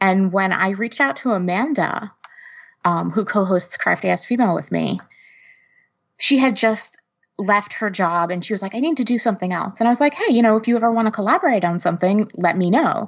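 A woman talks with an American accent at a fairly quick pace. Her medium pitch shows ordinary variation. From New Jersey, US. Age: 30s. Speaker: creative community founder. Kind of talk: casual interview.

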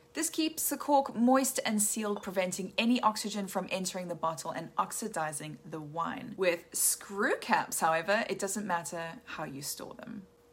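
A woman at medium pitch speaks at a moderate pace with hardly any pauses, very wide pitch swings, and big swings in loudness, over noticeable background noise. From South Africa. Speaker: wine educator. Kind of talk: scripted narration.

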